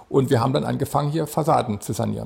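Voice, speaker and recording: A man's medium-pitched voice with vocal fry, ordinary pitch variation and a very fast pace. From Saxony, Chemnitz. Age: 60s. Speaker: company founder and CEO. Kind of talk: interview. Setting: company office.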